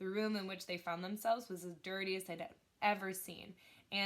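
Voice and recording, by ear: Reading aloud in a natural voice, someone keeps the intonation fairly even.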